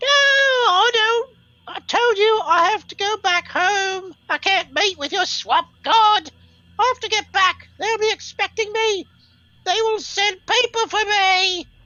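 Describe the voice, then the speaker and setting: In a put-on character voice, a female-sounding speaker shouts at an extremely high, squeaky pitch and a fairly slow pace. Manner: shouting, defiant.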